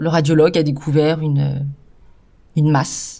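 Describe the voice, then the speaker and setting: A woman speaks in a very deep, low voice with a dark, mellow tone and fairly even intonation. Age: 50s. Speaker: cancer survivor and patient partner. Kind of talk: testimony. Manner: hesitant, many filler sounds.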